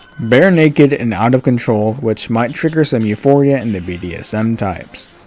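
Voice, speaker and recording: There is noticeable background noise as a man talks with lively intonation. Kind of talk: game commentary narration.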